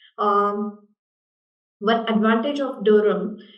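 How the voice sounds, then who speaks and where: A woman speaks at a fairly high pitch with an Indian accent. Her pace is fairly slow, and the room has an audible echo. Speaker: university international development manager. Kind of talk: panel discussion.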